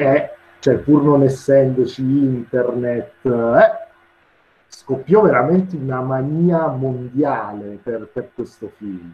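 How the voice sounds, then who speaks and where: A man's medium-pitched voice, very slow in pace, with big swings in loudness. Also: ordinary pitch variation. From Taranto, southern Italy. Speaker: comic artist, guest lecturer. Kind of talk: lecture.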